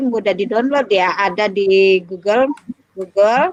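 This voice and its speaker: This woman talks at a moderate pace, her intonation lively. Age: middle-aged. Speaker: librarian and lecturer. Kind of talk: lecture. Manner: halting.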